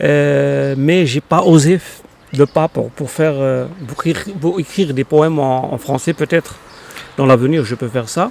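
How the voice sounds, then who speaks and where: Noticeable background noise surrounds a man with a fairly high pitch and ordinary pitch variation. He speaks at a fairly slow pace, and the sound is dry and close with no echo. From Morocco, Casablanca. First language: Arabic (speaking French). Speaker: poet. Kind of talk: interview. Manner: halting, many hesitations.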